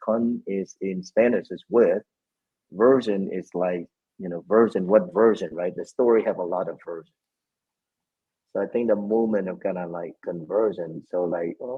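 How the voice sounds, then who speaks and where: A man with a Vietnamese accent speaks at a moderate pace and fairly low pitch, with ordinary pitch variation and big swings in loudness. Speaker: Jesuit priest, spirituality director. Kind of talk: interview conversation.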